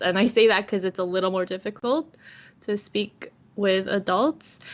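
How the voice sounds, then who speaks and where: Her voice is a plain, everyday voice. This woman keeps a medium pitch that varies in an ordinary way. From Canada. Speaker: podcaster. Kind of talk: casual chat.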